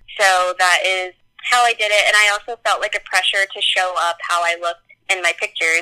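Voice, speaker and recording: A woman with an American accent has a plain, everyday voice at a medium pitch, with fairly even intonation and a fairly quick pace. The sound is dry and close, with no echo. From US South, North Carolina. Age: 20s. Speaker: podcast guest. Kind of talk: casual chat.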